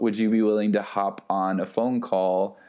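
A man with an American accent at a fairly low pitch and fairly slow pace, amid noticeable background noise. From Texas, small town. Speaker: photographer and music curator. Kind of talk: casual chat.

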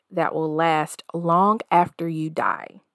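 With an American accent, a woman has an unremarkable speaking voice at a fairly low pitch, heard in a very clean recording with a silent background and a dry, close sound with no echo. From US South. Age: 40s. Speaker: podcast host. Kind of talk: solo self-help podcast monologue.

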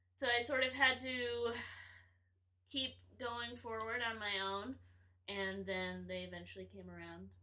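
Audible room echo surrounds a woman with an American accent. She speaks at a fairly slow pace, her loudness swinging widely. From north Florida (near Gainesville). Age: 20s. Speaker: guest, former engineer turned performer. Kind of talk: casual chat.

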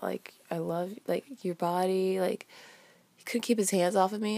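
On a very clean recording with a silent background, a woman speaks in an animated tone at a moderate pace. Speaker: solo podcaster. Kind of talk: casual storytelling monologue. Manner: casual, animated, laughs often.

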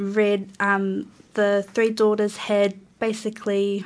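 This woman talks in a New Zealand accent. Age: young. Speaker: student and waka crew member. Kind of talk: radio interview. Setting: radio studio.

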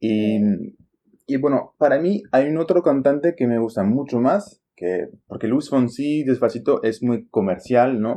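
A man speaks at a medium pitch with lively intonation and a dark, mellow tone. The background is quiet. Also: fairly slow pace. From France, Champagne region. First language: French (speaking Spanish). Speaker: Spanish teacher, podcast host. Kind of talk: casual language-learning conversation.

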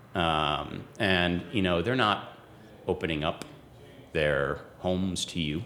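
Speaking at a very slow pace, a man with a very deep, low pitch keeps his loudness very even and his pitch variation ordinary. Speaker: podcast host. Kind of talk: casual interview chat. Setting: studio in a hotel. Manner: hesitant, many filler words.

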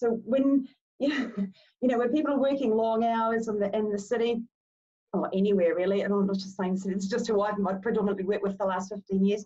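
With a New Zealand accent, the voice is somewhat breathy and very fast. Its intonation stays fairly even. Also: woman, fairly high pitch for a woman. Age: 40s. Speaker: movement specialist. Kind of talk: casual chat.

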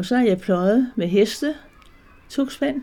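Somewhat breathy and dark, mellow in tone, a woman speaks at a fairly slow pace with ordinary pitch variation. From Denmark, Zealand near Roskilde Fjord. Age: 80s+. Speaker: weaver and textile artist. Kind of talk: interview. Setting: at home. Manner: halting.

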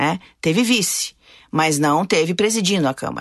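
Over a quiet background, a woman's voice comes through with a dry, close sound and no echo. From Brazil, interior of Paraná (Maringá). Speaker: city councillor and pastor. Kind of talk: interview.

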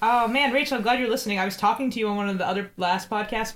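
A woman speaks at a very fast pace. Noticeable background noise is present. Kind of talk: casual chat. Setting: video call.

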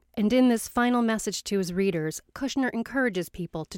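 A woman with an unremarkable speaking voice and medium pitch talks at a moderate pace, in a dry, close sound with no echo and a very clean recording with a silent background. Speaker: radio host. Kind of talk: scripted narration.

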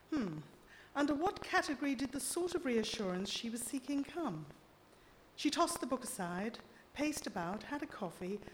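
A woman speaks with very wide pitch swings and long, frequent pauses. Noticeable background noise runs underneath. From Zimbabwe. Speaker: playwright and short story writer. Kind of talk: reading aloud. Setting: stage with audience.

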